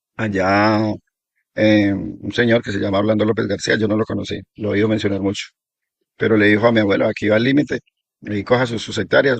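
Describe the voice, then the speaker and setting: At a very fast pace, a man with a fairly low pitch talks with fairly even intonation. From Colombia, Risaralda; raised in Guaviare. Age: 60s. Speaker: settler recounting local history. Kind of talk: oral history testimony.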